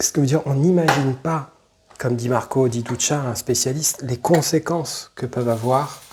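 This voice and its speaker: A man talks with ordinary pitch variation while noticeable noise fills the background. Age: 40s. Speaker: YouTuber. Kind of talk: personal testimony. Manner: halting, many fillers and repetitions.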